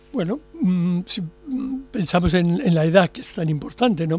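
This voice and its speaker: Over background music, a man with a high-pitched voice speaks at a moderate pace with lively intonation. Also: hardly any pauses, big swings in loudness. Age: 70s. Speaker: psychiatrist. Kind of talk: radio interview. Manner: halting, with repetitions.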